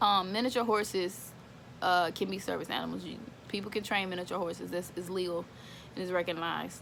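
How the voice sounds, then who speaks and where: A woman with an American accent talks at a fairly quick pace, using a medium pitch, fairly even intonation and vocal fry. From Houston, Texas. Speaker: service dog handler and video creator. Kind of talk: casual informal talk to camera. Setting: at home. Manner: halting, many fillers.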